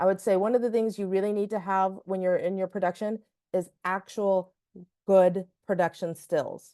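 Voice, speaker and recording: A woman speaks at a medium pitch in a dark, mellow tone. Her intonation is monotone and flat. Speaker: film festival strategist. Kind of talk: webinar presentation. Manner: fast.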